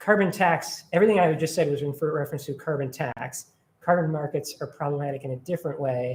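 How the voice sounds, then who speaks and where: This man talks at a very fast pace and sounds somewhat breathy. His pitch is fairly high. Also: ordinary pitch variation. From Minnesota, Minneapolis. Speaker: environmental advocacy director. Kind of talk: presentation with Q&A. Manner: animated.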